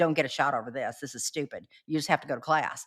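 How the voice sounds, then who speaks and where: Recorded very cleanly with a silent background, a woman talks at a very fast pace in an animated tone. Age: 60s. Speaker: podcast co-host, former inmate and entrepreneur. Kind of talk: casual interview chat. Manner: not quiet.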